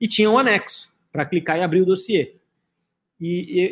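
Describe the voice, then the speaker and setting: Here a man talks at a moderate pace. His voice sits high in pitch. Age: 30s. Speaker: crypto exchange founder and CEO. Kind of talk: casual interview. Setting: public place, live video stream.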